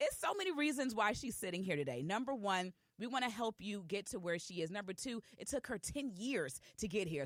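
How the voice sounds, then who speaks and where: A woman with an Atlanta accent speaks at a fairly quick pace in a medium pitch. Her tone is animated, with very wide pitch swings. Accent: US South, Atlanta. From Georgia, Atlanta. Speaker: podcast host. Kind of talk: interview.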